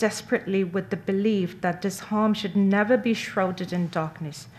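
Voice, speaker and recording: A woman speaks in a plain, everyday voice at a medium pitch. Her pace is fairly slow, with hardly any pauses. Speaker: interpreter. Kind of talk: consecutive interpretation of a statement.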